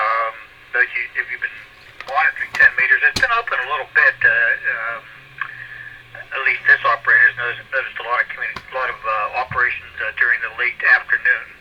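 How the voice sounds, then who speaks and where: A man's very fast speech with long, frequent pauses and noticeable background noise. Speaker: ham radio net control operator. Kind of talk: radio net announcements. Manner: halting, many fillers.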